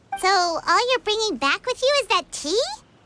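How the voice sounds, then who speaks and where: Over music in the background, a squeaky, put-on character voice with an extremely high pitch moves at a moderate pace. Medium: video game. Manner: chatty, inquisitive.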